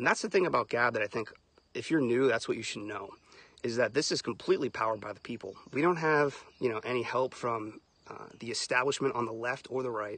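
A man talks very fast with ordinary pitch variation, the sound dry with no echo. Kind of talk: casual livestream talk. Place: open country. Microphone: phone near.

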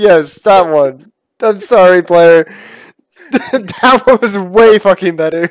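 Recorded dry with no echo over a quiet background, a man speaks at a very slow pace. He has an American accent. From Boston, US. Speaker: YouTuber. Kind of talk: casual chat. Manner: animated. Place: home room. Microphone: headset.

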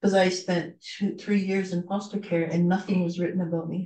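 Over a quiet background with audible room echo, a woman speaks at a moderate pace in a dark, mellow, somewhat breathy voice with monotone, flat intonation. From Canada. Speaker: guest. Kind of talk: presentation. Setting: video call. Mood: earnest, reflective. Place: home room.

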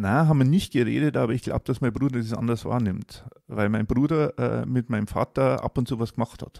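With hardly any pauses, a man talks at a fairly quick pace in a medium-pitched, dark, mellow voice with ordinary pitch variation, the sound dry and close with no echo. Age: 50s. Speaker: coaching client sharing his life story. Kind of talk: personal testimony in a casual interview. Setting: in person, face to face. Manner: halting, with many fillers.

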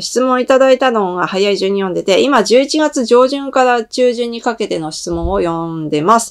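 A woman at a moderate pace, with very wide pitch swings. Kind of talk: announcement monologue to viewers.

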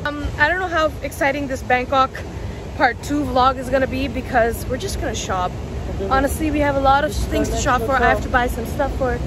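Over music in the background, a woman talks in a high voice with fairly even intonation, the sound dry with no echo. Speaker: travel vlogger. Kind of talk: casual vlog chat. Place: street. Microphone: phone near.

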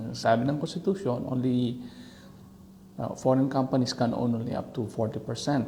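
Somewhat breathy and dark, mellow in tone, a man talks at a fairly slow pace in a medium pitch with ordinary pitch variation. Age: middle-aged. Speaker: vlogger. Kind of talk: casual commentary. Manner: halting.

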